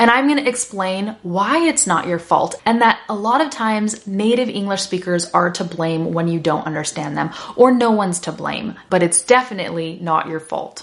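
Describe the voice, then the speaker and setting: A woman's animated, medium-pitched voice with lively intonation over noticeable background noise. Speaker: English teacher. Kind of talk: lesson to learners. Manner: fast.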